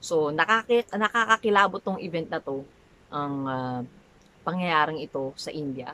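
Bright and sharp in tone, a woman speaks with lively intonation at a moderate pace. Her voice comes through dry, with no echo. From Manila, Philippines. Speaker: vlogger. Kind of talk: casual talk to camera. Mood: animated, somewhat dramatic. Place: home room.

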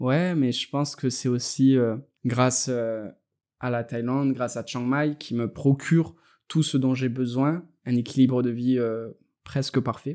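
With a plain, everyday voice, a man speaks at a medium pitch and a fairly slow pace, keeping his intonation fairly even. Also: very clean recording, silent background. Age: 30s. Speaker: web entrepreneur. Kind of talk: interview.

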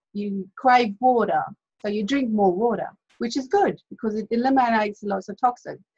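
Somewhat breathy, a woman's fairly high voice carries ordinary pitch variation at a moderate pace. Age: 30s. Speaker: health and diet coach. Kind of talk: webinar presentation. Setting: video call. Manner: casual, many filler words.

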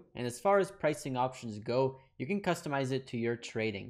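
A man talks at a fairly quick pace, his pitch varying an ordinary amount, against a quiet background. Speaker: trading educator. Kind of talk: tutorial. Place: home room. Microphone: studio mic.

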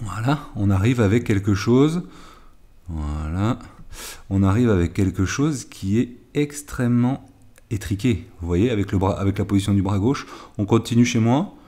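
The man's pitch is fairly low, with ordinary variation and a dark, mellow tone. He leaves long, frequent pauses. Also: fairly slow pace. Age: 50s. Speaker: golf coach. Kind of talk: tutorial. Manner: halting.

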